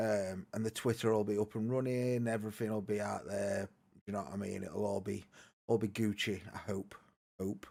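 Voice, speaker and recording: A man with a northern English accent, fairly low-pitched and dark, mellow in tone, at a moderate pace with fairly even intonation. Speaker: podcast host. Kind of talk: casual chat. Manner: loud.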